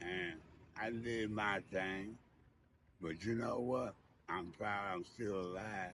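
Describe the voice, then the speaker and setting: With an American accent, a man speaks very slowly at a fairly low pitch, with fairly even intonation. He leaves long, frequent pauses. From Indianapolis, Indiana, US Midwest. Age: 70s. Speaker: former street figure interviewed about his life. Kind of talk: interview, casual storytelling.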